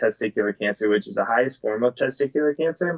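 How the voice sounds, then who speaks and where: A man speaks with a Midwestern American accent. His intonation is lively. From US Midwest, Cleveland, Ohio. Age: 20s. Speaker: motivational speaker and cancer survivor. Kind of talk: casual interview.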